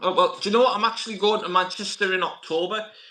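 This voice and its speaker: Projecting a raised voice with a northern English accent, a man talks at a fairly quick pace in a bright, sharp tone with ordinary pitch variation. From northern England, Middlesbrough. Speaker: YouTube channel host, movie collector. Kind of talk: casual chat. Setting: live stream interview.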